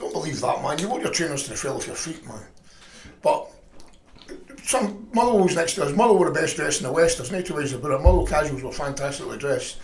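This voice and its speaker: A man with a Scottish accent at a very fast pace, amid noticeable background noise and audible room echo. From Scotland, Lanarkshire mining village. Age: 50s. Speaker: former football hooligan. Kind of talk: casual chat.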